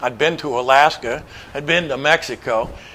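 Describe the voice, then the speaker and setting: Speaking with an American accent, a man with a fairly high pitch and ordinary pitch variation is heard over noticeable background noise. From Montana. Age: 70s. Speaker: motorcycle adventurer and author. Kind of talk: presentation to an audience. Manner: casual, hesitant with fillers.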